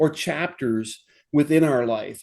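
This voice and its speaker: Lively intonation runs through an unremarkable speaking voice that proceeds at a fairly slow pace. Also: man. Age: 60s. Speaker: podcast host. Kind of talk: casual chat.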